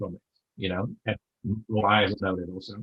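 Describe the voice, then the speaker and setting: A man with a Dutch accent speaks at a moderate pace. His intonation is monotone and flat. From Netherlands. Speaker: online seller. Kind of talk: interview. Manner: halting, many fillers.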